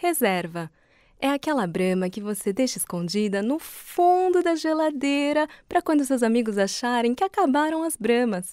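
This woman has a high pitch. Her pitch swings very widely. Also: moderate pace, very clean recording, silent background. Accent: Brazilian. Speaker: voice actor. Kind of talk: TV commercial read.

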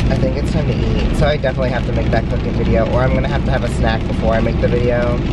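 Loud background noise runs through the recording. The man's voice sounds dry, without any echo. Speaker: vlogger driving. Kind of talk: casual vlog chat. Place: car. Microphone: phone near.

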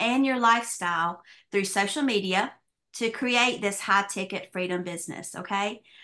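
Speaking in a Southern US accent, a woman has a bright, sharp tone and a medium pitch. Her pace is moderate, with ordinary pitch variation. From US South. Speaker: business opportunity presenter; presenter. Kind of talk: sales pitch. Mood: upbeat sales pitch. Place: home room. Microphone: webcam.

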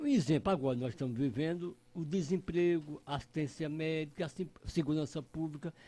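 This man's voice has a dark, mellow tone and a fairly high pitch. He keeps a moderate pace. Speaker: radio commentator. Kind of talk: radio interview. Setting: radio studio. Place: studio. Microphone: studio mic.

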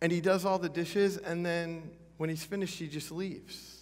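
Moderate pace from a man. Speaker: pastor. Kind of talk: sermon. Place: church.

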